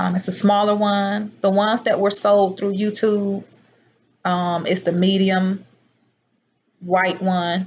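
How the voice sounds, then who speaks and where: Somewhat breathy, a woman speaks at a fairly slow pace in a monotone, flat intonation, with long, frequent pauses. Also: medium pitch for a woman. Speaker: herbal product seller and livestreamer. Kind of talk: live stream chat with viewers.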